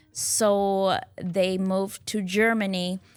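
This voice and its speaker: With music in the background, a woman speaks in a medium pitch with monotone, flat intonation. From Lancaster County, Pennsylvania, Old Order Mennonite community. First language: Pennsylvania Dutch. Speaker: homesteader and canning educator. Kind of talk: interview.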